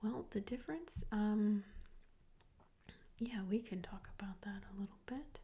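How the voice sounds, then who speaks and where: Whispering and soft-spoken, the voice moves at a fairly slow pace with long, frequent pauses. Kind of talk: ASMR role play. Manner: soft-spoken, whispered. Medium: role play.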